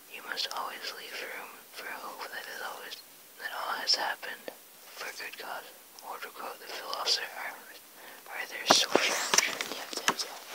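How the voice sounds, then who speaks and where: Whispering comes at a moderate pace with long, frequent pauses over noticeable background noise. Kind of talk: ASMR book reading. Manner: whispered.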